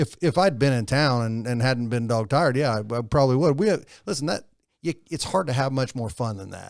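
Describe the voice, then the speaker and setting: A man with an unremarkable speaking voice talks at a medium pitch. His pace is fairly quick and his intonation lively. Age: 60s. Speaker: podcast guest, business owner. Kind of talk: casual chat.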